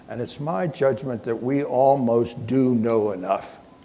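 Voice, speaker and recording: Audible room echo surrounds a man with a dark, mellow tone and medium pitch. He speaks at a fairly slow pace with ordinary pitch variation. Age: 80s+. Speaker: physician and keynote speaker. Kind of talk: keynote lecture.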